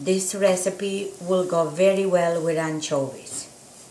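A woman speaks very slowly in a flat monotone at a fairly low pitch. Light background noise and audible room echo come through. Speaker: home cook host. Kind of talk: cooking tutorial. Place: kitchen. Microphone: camera far.

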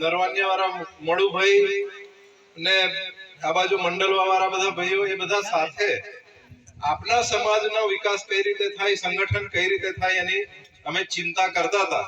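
A man's high-pitched, raised and projected voice with fairly even intonation, over noticeable background noise. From Gujarat, Chhota Udaipur district. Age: 40s. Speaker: local politician. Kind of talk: public speech. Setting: village religious gathering.

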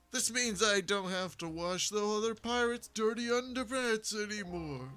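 This man uses a put-on character voice pitched high. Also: moderate pace.

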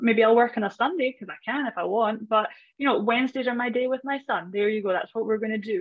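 This woman talks very fast with a Scottish accent, her pitch fairly high with ordinary variation. The sound is dry with no echo, over a quiet background. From Scottish Highlands. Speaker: personal brand strategist. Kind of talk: casual interview. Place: home room. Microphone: video call.

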